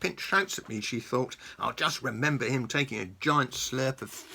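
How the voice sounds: The passage comes in a natural reading voice.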